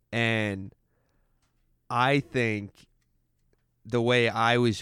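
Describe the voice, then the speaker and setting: A man speaks with an American accent and fairly even intonation. The recording is very clean, with a silent background. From Massachusetts (Stoneham, Boston area). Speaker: person in addiction recovery. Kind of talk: casual interview. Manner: hesitant, many fillers.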